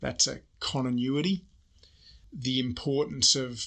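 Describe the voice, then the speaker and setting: Against a quiet background, the speaker uses an Australian accent, very slow and fairly even in intonation, with a bright, sharp tone. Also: man. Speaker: army general and report author. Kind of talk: interview. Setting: studio.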